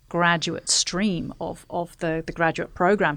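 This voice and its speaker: On a very clean recording with a silent background, a woman's fairly low voice carries vocal fry and fairly even intonation. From northern England; York. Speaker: engineering professional. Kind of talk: casual interview.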